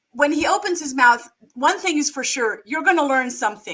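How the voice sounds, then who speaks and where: A woman uses a raised, projected voice at a high pitch with ordinary pitch variation. Her tone is bright and sharp. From Germany. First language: German. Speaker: podcast host. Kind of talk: interview.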